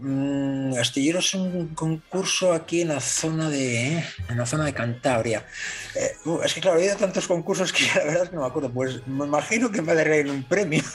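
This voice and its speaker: Music plays behind a man who talks at a moderate pace, his fairly high pitch showing ordinary variation. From northern Spain. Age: 50s. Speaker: model maker and DJ. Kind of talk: casual chat.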